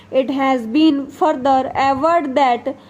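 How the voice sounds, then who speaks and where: Noticeable background noise sits behind a woman with a high voice. Her intonation stays fairly even. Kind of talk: shorthand dictation. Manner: slow, measured.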